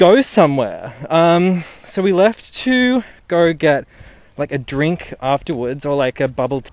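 A man talks at a fairly slow pace with a high pitch. His pitch swings very widely. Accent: Australian. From Newcastle, Australia. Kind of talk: casual storytelling. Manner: animated.

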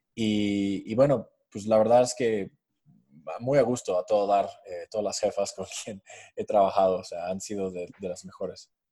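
A man speaks with an English accent. The recording is very clean, with a silent background. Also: moderate pace. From US, New Jersey near New York. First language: English (speaking Spanish). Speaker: fintech startup co-founder. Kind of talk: interview.

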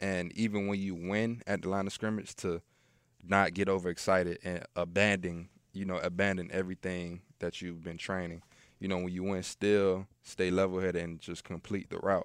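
In a very clean recording with a silent background, a man with a very deep, low pitch speaks in a flat monotone at a moderate pace. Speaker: pro football player. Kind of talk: casual chat. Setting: studio.

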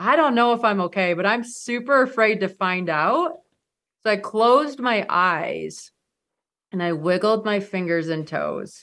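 Against a quiet background, a woman with an Upper Midwest accent speaks at a fairly slow pace in a bright, sharp tone, with medium pitch and lively intonation. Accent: Upper Midwest American. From Michigan. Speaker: mountaineer. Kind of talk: interview storytelling.

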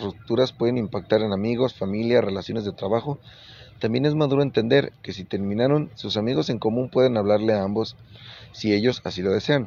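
Speaking in a Mexican accent, a man keeps a fairly quick pace at a medium pitch with ordinary pitch variation. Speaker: radio show host. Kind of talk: casual advice talk show. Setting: on a moving bus.

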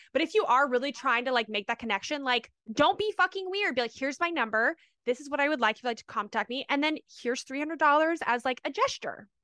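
Very fast and animated, a woman projects her high, bright, sharp voice with lively intonation in a dry, close recording with no echo. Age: 30s. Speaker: podcast co-host, stripper. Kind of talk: casual chat.

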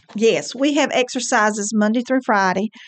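A woman's fairly high-pitched, a normal speaking voice at a moderate pace against a quiet background. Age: 60s. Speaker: senior center fitness coordinator and personal trainer. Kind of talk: radio interview. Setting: studio.

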